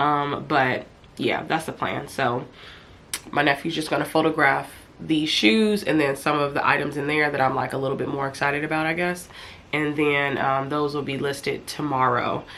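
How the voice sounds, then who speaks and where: With noticeable background noise and audible room echo, a woman speaks at a moderate pace in a very deep, low pitch and fairly even intonation. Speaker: vlogger and online reseller. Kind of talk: casual vlog talk to camera.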